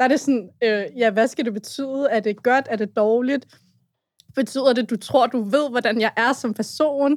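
Intonation holds fairly even. The speech unfolds at a fairly slow pace. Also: woman, high pitch for a woman. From Brøndby, Copenhagen western suburbs. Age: 20s. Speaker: youth activist. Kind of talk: casual chat.

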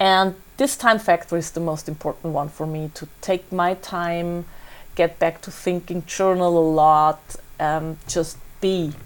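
With a German accent, a woman speaks at a fairly slow pace in a fairly low pitch, her intonation fairly even but her loudness swinging widely, on a very clean recording with a silent background. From Austria, Salzburg. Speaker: author and travel blogger. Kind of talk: interview.

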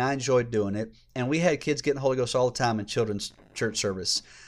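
A man with a Southern US accent, medium pitch, ordinary pitch variation and a very fast pace, in a very clean recording with a silent background. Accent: Southern US (Georgia). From US South, Georgia. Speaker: former children's minister. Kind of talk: casual interview.

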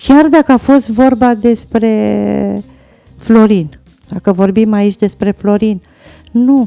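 A woman with a fairly high pitch and a dark, mellow tone speaks at a very slow pace and very even loudness, with ordinary pitch variation, the sound dry and close with no echo. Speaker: guest's mother. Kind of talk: interview.

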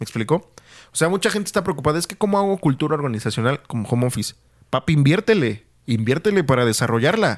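On a very clean recording with a silent background, a man speaks at a very fast pace. His fairly high pitch swings very widely. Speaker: podcast host. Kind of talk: casual chat. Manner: slangy, colloquial speech.

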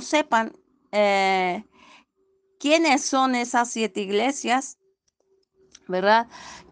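A woman talks at a very slow pace in a fairly high pitch with ordinary pitch variation, over a quiet background. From Mexico, Guanajuato. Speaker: evangelical church member giving a sermon. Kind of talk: sermon. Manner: halting.

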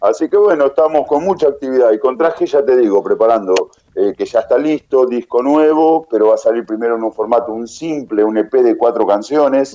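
A man's dark, mellow voice at a fairly high pitch, with ordinary pitch variation, a fairly quick pace and hardly any pauses. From Argentina, Tandil. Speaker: rock band leader and singer. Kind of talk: interview.

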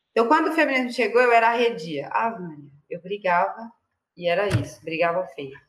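Swinging very widely in pitch, a woman with vocal fry and a fairly high voice speaks at a moderate pace. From Brazil, Mauá in São Paulo's ABC region. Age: 30s. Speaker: author and activist. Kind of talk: interview. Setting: video call.

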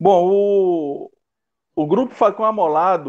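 A man talks with ordinary pitch variation. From Brazil, interior of Maranhão. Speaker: bushcraft group leader. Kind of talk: casual interview chat. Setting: video call live stream. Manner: halting, many fillers.

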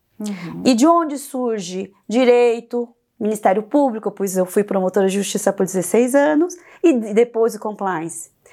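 With a Korean accent, a woman speaks at a fairly slow pace in a dark, mellow tone. Her intonation is lively. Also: fairly high pitch for a woman. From South Korea, Seoul; in Brazil from age 11. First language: Korean (speaking Portuguese). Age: 40s. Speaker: compliance consultant, former prosecutor. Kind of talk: interview podcast.

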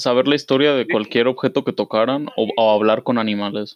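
A man talks in a plain, everyday voice at medium pitch and a fairly quick pace. The sound is dry and close with no echo, and his pitch varies in an ordinary way. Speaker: podcast co-host. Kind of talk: casual chat.

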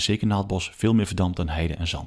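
A man speaks at a very fast pace in a very deep, low voice with ordinary pitch variation. The recording is very clean, with a silent background. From Achterhoek, eastern Netherlands. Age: 40s. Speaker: water authority advisor and stream specialist. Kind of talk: casual interview. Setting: at a kitchen table in his home.

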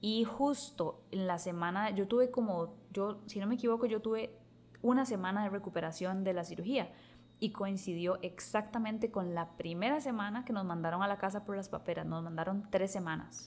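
A woman speaks at medium pitch in a Costa Rican accent. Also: ordinary pitch variation, moderate pace. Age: 30s. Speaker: podcast host. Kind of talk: casual chat.

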